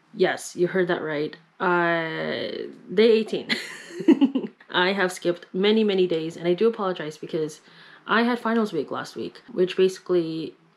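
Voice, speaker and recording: A woman talks with ordinary pitch variation at a moderate pace. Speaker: vlogger. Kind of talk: casual vlog chat. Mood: apologetic, relaxed. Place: home room. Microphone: phone near.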